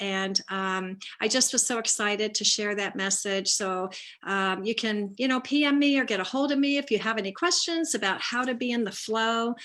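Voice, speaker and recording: Her tone bright and sharp, a woman speaks in a fairly high voice at a moderate pace. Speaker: spiritual life coach. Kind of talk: casual live stream talk. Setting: live video stream on Zoom/Facebook.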